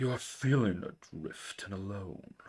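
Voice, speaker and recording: Putting on a character voice, a man talks at a moderate pace in a fairly low pitch. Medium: read story. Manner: compelling, soothing.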